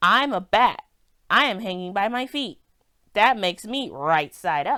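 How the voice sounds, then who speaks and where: A woman puts on a loud character voice at a medium pitch and moderate pace, captured on a very clean recording with a silent background. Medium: read story. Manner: blunt, matter-of-fact.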